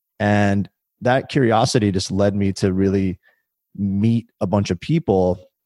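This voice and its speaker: Heard in a dry, close sound with no echo on a very clean recording with a silent background, a man with an American accent has a normal speaking voice, fairly low in pitch with ordinary pitch variation. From US Midwest, Illinois. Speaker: tech executive. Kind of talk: interview. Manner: casual.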